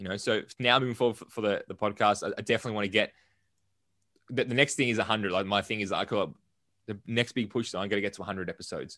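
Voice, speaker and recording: A man with an Australian accent, a bright, sharp tone and fairly low pitch, fairly even intonation and a very fast pace, over a quiet background. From Melbourne, Australia. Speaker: entrepreneur and business coach. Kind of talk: casual interview.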